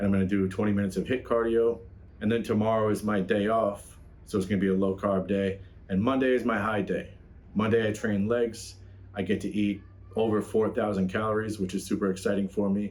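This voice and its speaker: A man with a fairly low pitch speaks at a fairly quick pace, his loudness very even throughout. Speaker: fitness youtuber. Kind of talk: casual vlog talk. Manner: animated; energetic.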